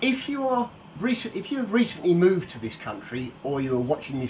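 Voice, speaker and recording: Noticeable background noise sits behind a man speaking at a fairly quick pace. His pitch swings very widely. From northern England. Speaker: cook. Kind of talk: cooking tutorial. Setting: home kitchen. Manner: casual, chatty.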